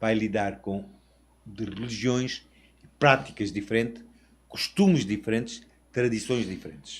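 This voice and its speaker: At a fairly slow pace and a medium pitch, a man talks with long, frequent pauses. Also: ordinary pitch variation. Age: 60s. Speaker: international sales representative. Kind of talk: interview podcast.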